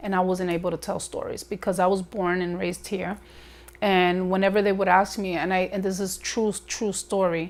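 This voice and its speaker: Monotone and flat, a woman speaks. She has a New York accent. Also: medium pitch for a woman, moderate pace. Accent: New York American English. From New York, Bronx. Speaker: documentary interviewee. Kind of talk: interview testimony.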